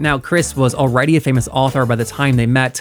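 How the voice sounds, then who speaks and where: Music plays behind a man speaking at medium pitch. His pitch varies in an ordinary way. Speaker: podcast host. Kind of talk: podcast intro narration.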